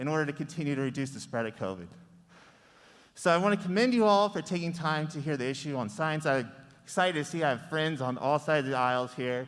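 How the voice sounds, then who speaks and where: Loud and fairly high-pitched, a man talks at a fairly quick pace with ordinary pitch variation. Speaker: parent speaking at public comment. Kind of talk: public comment at school board meeting. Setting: public meeting with microphone.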